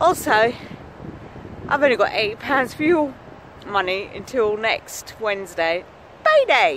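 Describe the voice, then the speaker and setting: Very slow speech in an English accent, with long, frequent pauses and noticeable background noise. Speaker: vlogger. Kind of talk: casual vlog. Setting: outdoors, walking to work.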